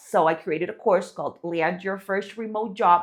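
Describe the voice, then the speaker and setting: A woman talks with a non-native accent and ordinary pitch variation. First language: not English. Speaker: online business creator. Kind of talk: casual talk to camera. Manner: conversational with many fillers.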